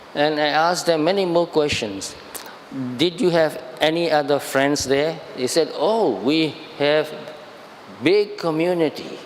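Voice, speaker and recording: Fairly slow speech with very even loudness, ordinary pitch variation, long and frequent pauses, and noticeable background noise. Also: man, fairly high pitch for a man. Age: 70s. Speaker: Buddhist monk. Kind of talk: dharma talk. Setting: shrine hall with audience. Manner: halting.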